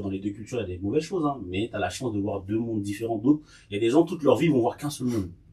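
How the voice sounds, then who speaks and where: A man's somewhat breathy, fairly low voice at a very fast pace, with ordinary pitch variation. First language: Bété (Ivorian language) (speaking French). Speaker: podcast guest sharing experiences. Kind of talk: casual group discussion, personal testimony.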